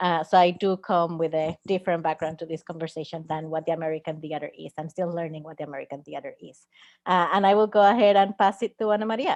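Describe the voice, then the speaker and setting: Speaking very fast with hardly any pauses, a woman with a Spanish accent uses a fairly low pitch, ordinary pitch variation and big swings in loudness, recorded with a dry, close sound and no echo. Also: quiet background. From Puerto Rico. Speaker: theatre artist and moderator. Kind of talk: panel discussion. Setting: live stream.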